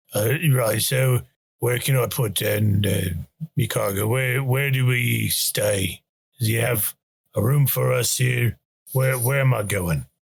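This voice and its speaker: A put-on character voice, raspy, with ordinary pitch variation. It moves at a fairly slow pace and keeps its loudness very even. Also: man, medium pitch for a man. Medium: actual play. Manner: rambling, repetitive.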